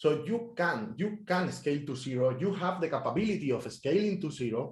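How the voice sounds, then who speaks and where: Pitch swings very widely. The pace stays moderate. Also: man. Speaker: software engineer. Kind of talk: technical talk. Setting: meetup talk.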